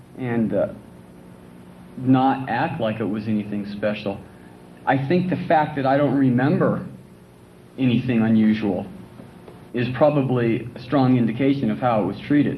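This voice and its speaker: A man speaking with long, frequent pauses amid audible room echo. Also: medium pitch for a man, ordinary pitch variation, moderate pace. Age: 30s. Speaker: patient speaker. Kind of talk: talk to an audience. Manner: halting.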